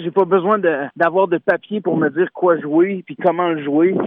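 Noticeable background noise sits behind a man speaking at a moderate pace. His pitch is high, with fairly even intonation. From Quebec, Beauce. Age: 20s. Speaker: singer-songwriter. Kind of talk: radio interview.

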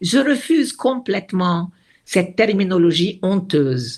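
Somewhat breathy and very slow, a woman's medium-pitched voice makes very wide pitch swings. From Lebanon, Beirut. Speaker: retired diplomat. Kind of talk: interview.

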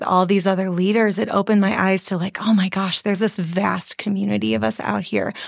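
A woman with a medium-pitched voice and an American accent talks at a fairly quick pace over noticeable background noise. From US Midwest, Chicago suburbs. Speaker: worship leader and vocal coach. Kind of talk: casual interview.

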